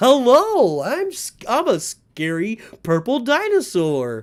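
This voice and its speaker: At a fairly slow pace, someone does a put-on character voice with a fairly high pitch. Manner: goofy.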